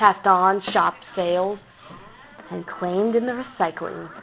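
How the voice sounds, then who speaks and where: A woman talks fairly slowly while background noise is clearly audible. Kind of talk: creepypasta reading.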